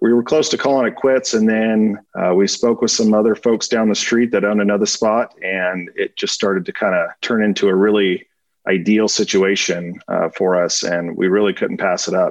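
At a moderate pace, a man with a normal speaking voice talks at a fairly low pitch, keeping his loudness very even and his intonation fairly even. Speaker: restaurant and pub owner. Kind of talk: interview.

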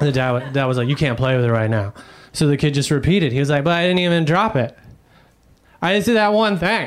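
A man with a fairly high pitch and lively intonation, set against noticeable background noise. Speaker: stand-up comedian. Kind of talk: stand-up comedy. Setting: stage with audience.

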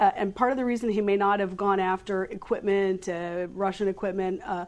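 A woman speaks at a moderate pace with ordinary pitch variation. She has a plain, everyday voice. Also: quiet background. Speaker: political journalist panelist. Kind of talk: panel discussion.

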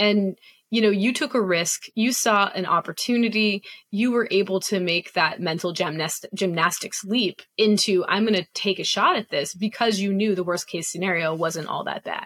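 A woman with a normal speaking voice talks at a medium pitch with ordinary pitch variation, the sound dry and close with no echo. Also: moderate pace. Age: 40s. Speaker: podcast host. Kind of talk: interview.

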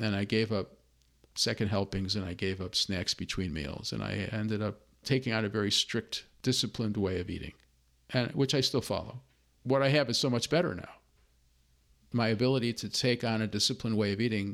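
A man speaks at a fairly quick pace in a plain, everyday voice, his fairly low pitch moving with ordinary variation, on a very clean recording with a silent background. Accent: American. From US Midwest, Chicago. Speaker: consultant for nonprofits, former professor. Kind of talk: interview, personal testimony.

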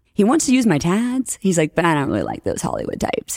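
A woman speaks at a very fast pace. She has an American accent. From New Orleans, US South. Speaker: orthodontist and educator. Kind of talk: casual interview chat. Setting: conference venue, in person interview. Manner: fast talker.

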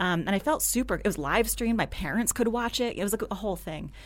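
Vocal fry runs through a woman's speech. The recording is very clean, with a silent background. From New Jersey. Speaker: engineering director and author. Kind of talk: interview conversation.

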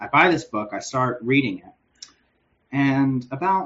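With an American accent, a man uses an ordinary speaking voice at a fairly high pitch and ordinary pitch variation. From US South, Northeast Georgia. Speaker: comic book creator. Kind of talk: casual interview.

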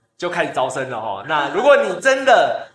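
A man speaks at a fairly quick pace with lively intonation. The room echo is audible. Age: middle-aged. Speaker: community college staff member. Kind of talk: casual chat.

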